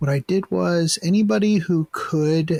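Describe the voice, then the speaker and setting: A man speaks quietly at a fairly slow pace. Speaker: podcast host. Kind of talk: casual chat. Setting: online call recording. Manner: quiet, subdued; halting, many fillers.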